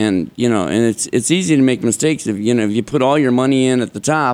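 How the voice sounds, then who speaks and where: In an American accent, a man speaks fairly quickly at a medium pitch with ordinary pitch variation, in a plain, everyday voice. The recording is very clean, with a silent background. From Chicago. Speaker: stock trading software developer. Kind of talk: interview.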